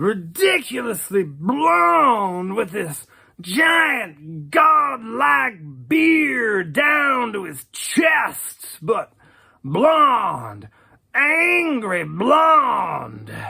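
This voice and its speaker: In a put-on character voice, a man uses a raised, projected voice with a high pitch, very wide pitch swings and a very slow pace. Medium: audio drama. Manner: rambling, casual, many hesitations.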